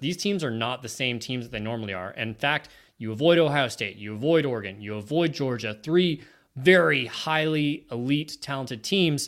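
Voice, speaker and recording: On a very clean recording with a silent background, a man with a plain, everyday voice talks at a moderate pace. His pitch is medium and his intonation lively. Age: 30s. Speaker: sports podcast co-host. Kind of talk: casual chat.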